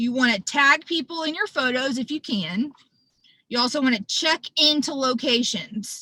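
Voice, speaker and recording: Her voice raised and projected, a woman speaks at a moderate pace in a high, bright, sharp tone with lively intonation. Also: dry, close sound with no echo. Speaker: public image chair of a service club. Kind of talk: virtual presentation / training. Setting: video call from her car.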